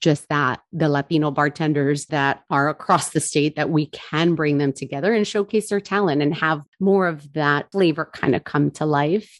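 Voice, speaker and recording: A woman's very deep, low voice with an American accent, ordinary pitch variation and a moderate pace, dry and close with no echo over a quiet background. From New Jersey. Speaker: bourbon brand ambassador. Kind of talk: casual interview.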